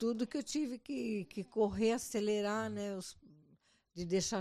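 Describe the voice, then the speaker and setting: A woman speaks with a dark, mellow tone and ordinary pitch variation. The background is quiet. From Brazil. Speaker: mother-in-law of host. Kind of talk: casual chat, life story.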